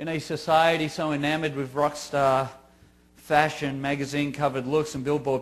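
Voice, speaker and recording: A man speaks with an Australian accent. His pitch sits fairly high. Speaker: grieving father giving a talk. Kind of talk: scripted narration. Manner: formal.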